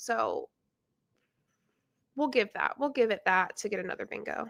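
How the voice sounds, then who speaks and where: The speaker has an American accent and a moderate pace. The recording is very clean, the background silent. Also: woman. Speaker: YouTuber reacting to videos. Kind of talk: reaction commentary. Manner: animated.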